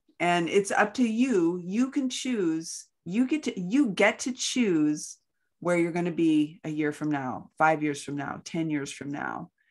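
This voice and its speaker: Against a quiet background, a woman with a fairly low voice speaks at a fairly slow pace, her pitch making very wide swings. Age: 60s. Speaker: podcast co-host. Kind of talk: casual chat.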